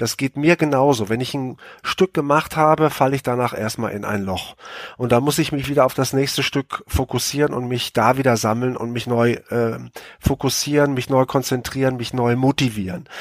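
A man speaks in a plain, everyday voice at a medium pitch and a moderate pace, with a dry, close sound with no echo. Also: ordinary pitch variation. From Münsterland, western Germany. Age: 50s. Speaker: TV sports reporter. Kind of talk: casual chat.

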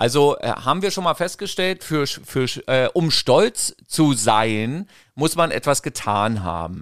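A man talks very slowly, his fairly high pitch swinging very widely. The sound is dry and close with no echo, on a very clean recording with a silent background. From East Germany. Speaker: podcast host, parent. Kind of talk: casual chat.

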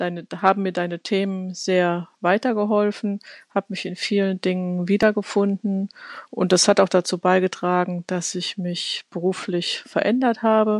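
A woman of medium pitch speaks fairly slowly in a flat, monotone way. The sound is dry and close with no echo, against a quiet background. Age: 40s. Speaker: podcast listener. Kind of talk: recorded voice message.

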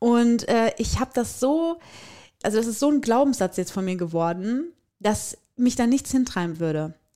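The voice has a dark, mellow tone and very wide pitch swings at a moderate pace. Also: woman, fairly high pitch for a woman. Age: 30s. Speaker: podcast co-host. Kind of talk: casual chat; informative explanation.

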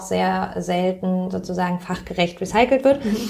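A woman is talking. Noticeable background noise runs behind her. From Germany, Pforzheim. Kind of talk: interview.

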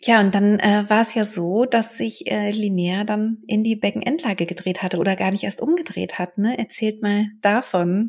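A woman speaks at a medium pitch and moderate pace, with ordinary pitch variation and hardly any pauses. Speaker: podcast host, birth preparation coach. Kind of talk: casual interview.

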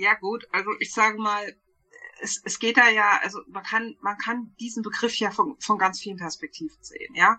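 A woman speaks in a plain, everyday voice, fairly high in pitch with ordinary pitch variation. Her pace is moderate, and her loudness swings widely. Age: 40s. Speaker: podcast co-host, spiritual life coach. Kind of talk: casual chat.

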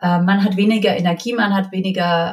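A woman speaks at a moderate pace with a medium pitch. Her voice is somewhat breathy. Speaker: mother sharing her experience. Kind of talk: interview, personal testimony.

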